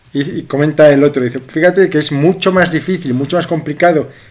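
A man with a fairly high pitch talks at a moderate pace, varying his pitch in an ordinary way. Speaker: podcast co-host. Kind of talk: casual chat.

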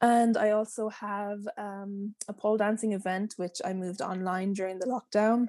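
A woman with a western Irish accent speaks at a moderate pace and a medium pitch, her tone dark and mellow, her intonation flat and monotone, with hardly any pauses. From west coast of Ireland, small town. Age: 20s. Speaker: pole dancer and body confidence teacher. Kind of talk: interview. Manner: soothing, relaxed.

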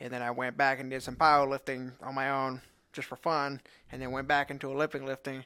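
Very fast, monotone speech from a man at medium pitch, bright and sharp in tone, on a very clean recording with a silent background. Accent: Louisiana. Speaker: podcast co-host, strength athlete. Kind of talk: casual chat.

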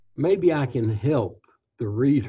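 Using an American accent, a man speaks at a very slow pace with lively intonation. His tone is dark and mellow, and somewhat breathy. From Kentucky, US South. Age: 80s. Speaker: retired company CEO, author. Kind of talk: interview, reflective storytelling. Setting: remote call.

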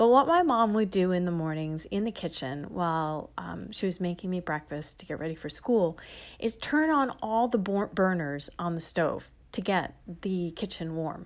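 A woman with a normal speaking voice talks in an American accent at a fairly low pitch. Her intonation is lively and her pace moderate. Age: 50s. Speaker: podcast host and breathwork teacher. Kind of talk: personal storytelling monologue.

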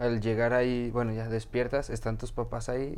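A man with a Mexican accent, audible room echo around him. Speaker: podcast host. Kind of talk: interview. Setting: video podcast.

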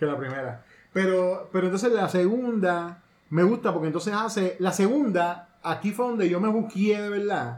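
This man speaks at a moderate pace with a high pitch. His pitch varies in an ordinary way. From Puerto Rico. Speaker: podcast host. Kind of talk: casual chat.

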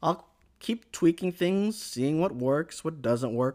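A man's voice with very wide pitch swings comes through on a very clean recording with a silent background. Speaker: anime news podcast host. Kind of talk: solo podcast news roundup. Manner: upbeat and animated.

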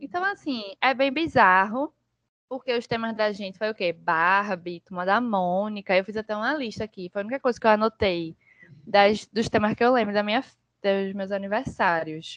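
Dry and close with no echo, a woman's unremarkable speaking voice comes at a moderate pace, fairly high in pitch with ordinary pitch variation. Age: 20s. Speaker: podcast guest. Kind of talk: casual chat.

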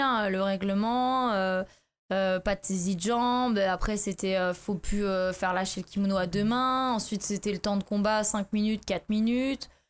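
A woman with an ordinary speaking voice talks at a moderate pace in a medium pitch, her intonation fairly even and her loudness very even, on a very clean recording with a silent background. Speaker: former judo athlete turning to MMA. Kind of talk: casual interview.

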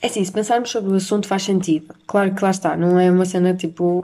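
At a fairly quick pace, a woman speaks in a dark, mellow tone with monotone, flat intonation. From Portugal. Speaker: podcast host. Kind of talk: casual monologue. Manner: hesitant with fillers.

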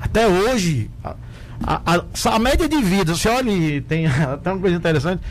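A man talks at a high pitch with very wide pitch swings and a moderate pace. Noticeable background noise sits behind him. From Brazil, Rio Grande do Norte (Mossoró). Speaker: doctor and municipal health secretary. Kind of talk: radio interview. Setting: radio studio.

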